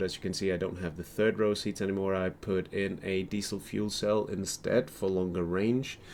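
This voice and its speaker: A man with a non-native accent and fairly low pitch at a moderate pace, in a very clean recording with a silent background. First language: not English. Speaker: gaming YouTuber. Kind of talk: casual gameplay commentary. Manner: halting, many fillers and repeats.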